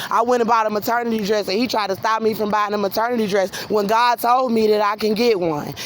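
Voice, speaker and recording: A woman talks at a very fast pace with a fairly high pitch. Her intonation is fairly even, with noticeable background noise behind her. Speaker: vlogger. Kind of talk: walking vlog monologue. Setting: outdoors at night walking on street. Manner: loud.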